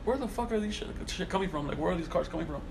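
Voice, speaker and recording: Noticeable background noise and audible room echo surround a man speaking in an American accent. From Salinas, California. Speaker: car culture magazine founder. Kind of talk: casual chat.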